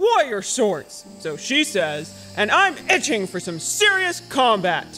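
A man uses a put-on character voice at a high pitch and a fairly slow pace. Clear music plays in the background. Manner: boastful, gruff.

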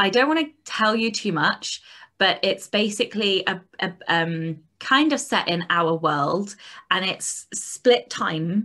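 A woman with a British accent sounds animated in a bright, sharp tone against a quiet background. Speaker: podcast co-host for authors. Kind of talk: casual chat. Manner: animated, swears freely. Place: home room. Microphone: video call.

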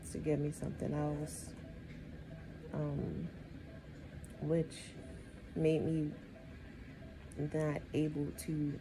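There is noticeable background noise as a woman speaks in a very deep, low voice with a weary tone. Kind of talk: casual vlog chat. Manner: slow, weary, low-energy speech from bed. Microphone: phone near.

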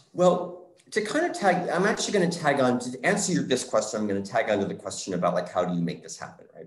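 A voice with an American accent rushes at a very fast pace, its loudness swinging widely, with audible room echo. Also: man. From Scranton, Pennsylvania; Pennsylvania. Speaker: theatre artist and choreographer; panelist. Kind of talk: interview conversation. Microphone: video call.

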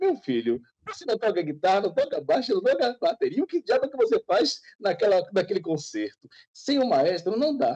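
In a Bahian accent, a man speaks at a moderate pace in an extremely high voice with a dark, mellow tone and very wide pitch swings, against a quiet background. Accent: Bahian Brazilian Portuguese. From Bahia, Brazil. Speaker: photographer. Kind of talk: casual interview. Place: home room. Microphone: video call.

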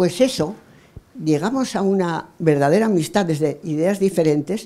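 A woman's fairly low voice, dark and mellow in tone, with ordinary pitch variation. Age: old. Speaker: audience member. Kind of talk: audience comment. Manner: animated. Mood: moved, emotional. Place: hall. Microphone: handheld.

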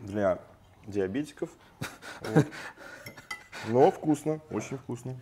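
Against light background noise, a man with a medium pitch speaks very slowly and with lively intonation, leaving long, frequent pauses. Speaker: radio host and food critic. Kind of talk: food tasting commentary. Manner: halting. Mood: pleased, approving. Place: studio. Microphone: lapel.

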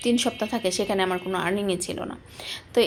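A woman's medium-pitched voice with fairly even intonation over music in the background. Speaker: cooking and vlog content creator. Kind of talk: casual vlog talk to viewers.

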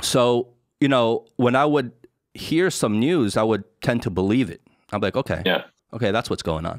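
Against a quiet background, a man with an American accent speaks with lively intonation, the sound dry with no echo. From United States. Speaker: podcast host. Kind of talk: casual interview conversation. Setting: studio. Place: home room. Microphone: studio mic.

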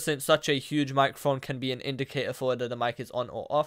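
Words come at a fast pace in a clear, smooth tone. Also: man.

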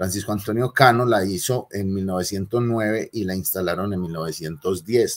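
In an Antioquian accent, a man speaks with a fairly low pitch and fairly even intonation. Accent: Colombian paisa (Antioquia) Spanish. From Colombia, Medellín (Aranjuez); Colombia. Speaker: lecturer on city history. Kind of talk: lecture. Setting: classroom with slides. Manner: conversational, with frequent fillers. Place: home room. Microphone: webcam.

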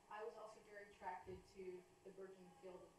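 Over noticeable background noise and audible room echo, a woman speaks at a fairly quick pace in a monotone, flat intonation. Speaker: guest lecturer. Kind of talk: lecture. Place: classroom. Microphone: camera far.

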